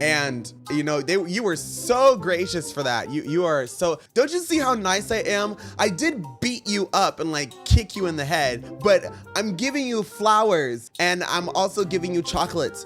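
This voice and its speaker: A man with a high pitch for a man speaks in a playful tone at a moderate pace, his pitch swinging very widely, with hardly any pauses and music in the background. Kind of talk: reaction video commentary. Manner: sassy, playful.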